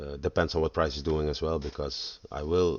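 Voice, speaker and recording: In a Dutch accent, a man talks with a very deep, low pitch and fairly even intonation. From Netherlands. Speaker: forex trader. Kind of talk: tutorial. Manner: halting.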